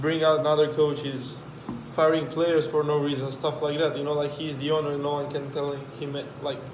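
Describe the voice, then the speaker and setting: A man with a fairly high pitch speaks at a moderate pace in a monotone, flat intonation, with long, frequent pauses, audible room echo, and noticeable background noise. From Romania. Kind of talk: casual chat.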